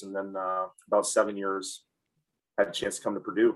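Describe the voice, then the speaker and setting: Speaking at a very fast pace, a man rushes through his words. He has a Midwestern American accent. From Michigan, Ann Arbor. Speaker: college soccer head coach. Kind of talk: interview. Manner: halting, many fillers.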